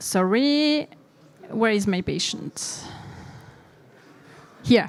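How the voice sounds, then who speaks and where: With lively intonation, a woman talks at a very slow pace. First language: French. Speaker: intensive care physician. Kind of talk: conference presentation.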